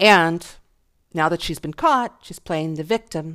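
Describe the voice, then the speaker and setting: In a very clean recording with a silent background, a woman speaks very slowly with a fairly low pitch and ordinary pitch variation. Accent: American. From US, Buffalo, New York. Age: 40s. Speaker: podcast host. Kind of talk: casual monologue. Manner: animated; halting.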